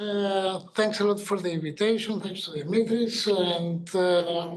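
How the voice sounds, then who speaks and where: Speaking at a fairly slow pace with fairly even intonation, a man is heard with audible room echo. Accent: Greek. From Greece. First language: Greek. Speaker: regulatory consultant and medical doctor. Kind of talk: workshop presentation. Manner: halting, many fillers.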